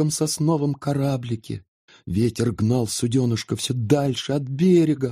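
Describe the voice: Quiet surroundings and plain reading aloud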